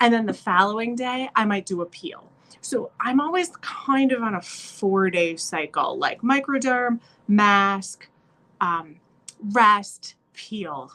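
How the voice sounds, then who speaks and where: A woman speaks very slowly at a fairly high pitch. Her tone is bright and sharp. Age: 40s. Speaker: beauty consultant vlogger. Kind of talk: tutorial. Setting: hotel room. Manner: casual with filler words.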